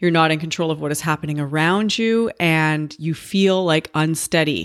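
A woman speaks at a very deep, low pitch with fairly even intonation. The recording is very clean, with a silent background. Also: hardly any pauses. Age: 40s. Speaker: podcast host. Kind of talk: unscripted solo monologue. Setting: home office. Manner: casual, rambling.

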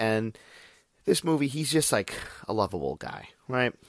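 A man's animated tone with lively intonation and vocal fry comes through in a dry, close sound with no echo. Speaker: podcast host, movie reviewer. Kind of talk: casual solo monologue. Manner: animated, profane.

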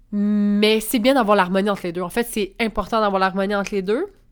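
In a Quebec accent, a woman speaks at a moderate pace with medium pitch. The recording is very clean, the background silent. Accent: Québécois French. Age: 20s. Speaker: podcast host, spiritual coach and entrepreneur. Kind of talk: casual monologue.

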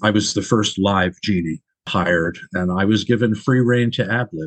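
An unremarkable speaking voice from a man with an American accent, fairly low pitch, ordinary pitch variation and a moderate pace. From New York, Long Island. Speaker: comedian and stage actor. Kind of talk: casual interview.

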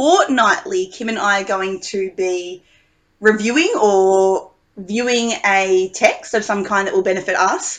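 A woman speaks fairly slowly in an ordinary speaking voice, at medium pitch with ordinary pitch variation. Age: 20s. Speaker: podcast co-host and teacher. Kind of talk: casual chat.

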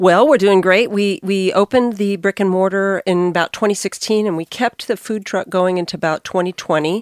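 The speaker has a normal speaking voice with fairly even intonation and a fairly quick pace. The sound is dry and close, with no echo. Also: woman, medium pitch for a woman. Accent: American. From Arkansas, US. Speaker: restaurant co-founder. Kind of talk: casual interview. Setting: studio.

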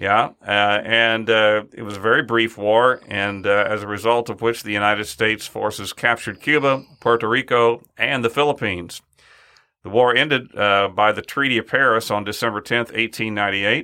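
A man with an ordinary speaking voice talks at a moderate pace and medium pitch with fairly even intonation. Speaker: podcast co-host. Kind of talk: interview. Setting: studio.

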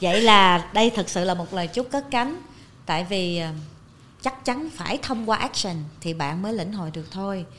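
This woman has an unremarkable speaking voice with a fairly low pitch. She talks at a moderate pace. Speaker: TV presenter and author. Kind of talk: casual interview.

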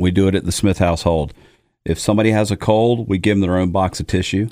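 A man's fairly low, dark and mellow voice, playful in tone, at a very fast pace with fairly even intonation, on a very clean recording with a silent background. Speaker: co-host and audio producer. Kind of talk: casual chat. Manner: joking, playful.

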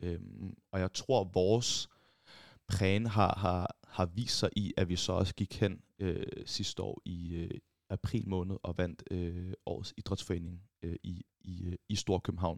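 Very slowly and with fairly even intonation, a man speaks in a very deep, low pitch, the sound dry and close with no echo and the recording very clean with a silent background. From Copenhagen, Valby. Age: 20s. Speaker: law student and gaming entrepreneur. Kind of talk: interview. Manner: halting, many repetitions.

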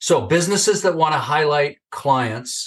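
The voice belongs to a man and is somewhat breathy. The background is quiet. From Northern California. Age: 60s. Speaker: video testimonial business guest, marketer. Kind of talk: casual interview chat. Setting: video call.

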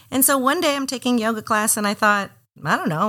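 A woman's very fast, fairly high-pitched voice with an American accent, vocal fry and a bright, sharp tone. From Miami, Florida. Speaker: yoga studio owner. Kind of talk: interview.

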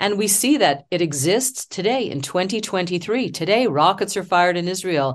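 A woman with a Canadian accent speaks at medium pitch and a moderate pace, with lively intonation and hardly any pauses. It is an unremarkable speaking voice, set against a quiet background. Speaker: stage actor. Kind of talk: interview.

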